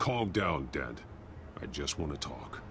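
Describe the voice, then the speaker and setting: Over clear background noise, a man uses a put-on character voice with a very deep, low pitch at a fairly slow pace. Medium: video game. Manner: terse, stern.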